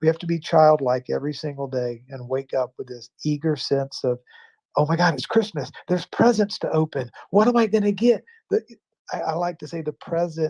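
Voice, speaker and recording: A man talks at a moderate pace in a fairly high, dark and mellow voice with lively intonation. The sound is dry and close, with no echo. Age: 60s. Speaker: live stream talk show host. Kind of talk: reflective spiritual talk. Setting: live stream with callers.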